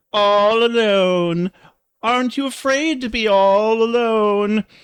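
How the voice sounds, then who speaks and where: A man puts on a character voice, pitched high. He goes at a fairly slow pace. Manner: creepy, pleased, taunting.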